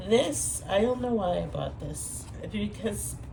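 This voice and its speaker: A woman speaks over noticeable background noise. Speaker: former teacher. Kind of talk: casual talk to camera.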